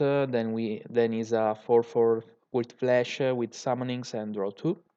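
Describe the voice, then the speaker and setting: This man speaks with an Italian accent at a medium pitch. His intonation is fairly even and his pace moderate. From Italy. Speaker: YouTuber, card game content creator. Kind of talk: tutorial. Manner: halting, many fillers. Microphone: poor audio quality.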